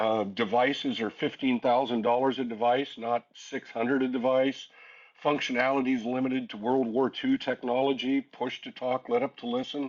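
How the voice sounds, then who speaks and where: A man's voice sits at a medium pitch and moves at a moderate pace. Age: 60s. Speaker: public safety official. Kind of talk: webinar panel discussion. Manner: animated.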